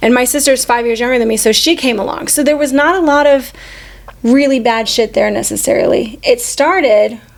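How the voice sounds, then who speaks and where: A woman speaks at a moderate pace in a high voice with ordinary pitch variation over noticeable background noise. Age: 40s. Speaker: podcast co-host. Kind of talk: personal storytelling. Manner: casual.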